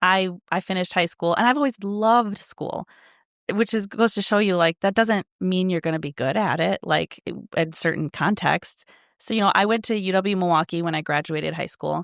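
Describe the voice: On a very clean recording with a silent background and a dry, close sound with no echo, a woman with a fairly low voice, a fairly bright tone, and vocal fry speaks with ordinary pitch variation. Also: moderate pace.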